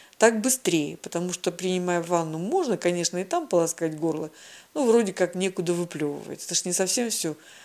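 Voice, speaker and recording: A woman speaks at a moderate pace in an ordinary speaking voice, her pitch fairly low and her intonation lively. The recording is very clean, with a silent background. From southern Russia, Krasnodar Krai. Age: 60s. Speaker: patient sharing health story. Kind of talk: personal testimony.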